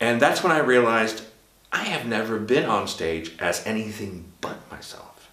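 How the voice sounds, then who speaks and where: A man with an American accent and a medium-pitched voice is heard with audible room echo and noticeable background noise. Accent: American accent, adopted. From Sweden. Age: 50s. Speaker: drag performer and vlogger. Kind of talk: casual vlog monologue. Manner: halting, with fillers.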